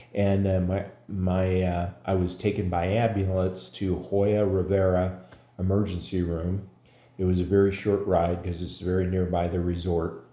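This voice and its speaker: Amid audible room echo, a man with a very deep, low pitch and a dark, mellow tone talks at a moderate pace in a monotone, flat delivery. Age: 60s. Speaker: patient. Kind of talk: testimony. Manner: halting, many fillers.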